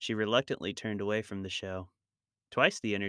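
Quiet background behind a natural reading voice

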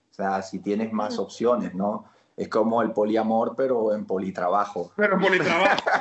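An ordinary speaking voice, moderate in pace and lively in intonation. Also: man, medium pitch for a man. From Colombia, Barranquilla (Caribbean coast). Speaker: actor. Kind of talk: casual interview chat.

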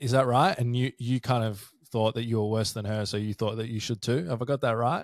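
On a very clean recording with a silent background and a dry, close sound with no echo, a man with an Australian accent talks at a fairly quick pace, his medium pitch held to fairly even intonation. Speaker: podcast host and addiction recovery service promoter. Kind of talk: casual interview chat.

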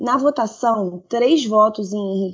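Speaking at a fairly slow pace, a woman with a fairly high pitch sounds somewhat breathy and shows ordinary pitch variation. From Rio de Janeiro, Brazil. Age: 30s. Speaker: nurse and online game moderator. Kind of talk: news reading.

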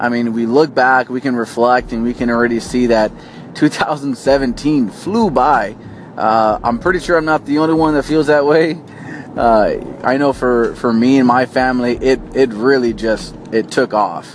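A man speaks fairly slowly with ordinary pitch variation as noticeable background noise carries on behind him. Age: 30s. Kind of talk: inspirational talk to camera. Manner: hesitant, many fillers.

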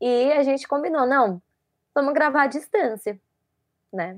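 A woman at a moderate pace, dry and close with no echo, against a quiet background. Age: 20s. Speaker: audiovisual production student and photographer. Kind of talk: casual interview chat.

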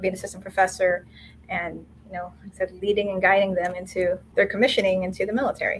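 A woman races along at a very fast pace in a monotone, flat intonation at medium pitch, with big swings in loudness. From Philippines. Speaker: air force captain. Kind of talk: casual interview chat.

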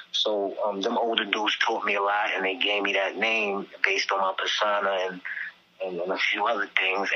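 Against noticeable background noise, a man talks in a New York accent at a fairly low pitch. His intonation is monotone and flat, and his pace is moderate. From Staten Island, New York. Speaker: rapper. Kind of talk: interview. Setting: phone call. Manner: halting.

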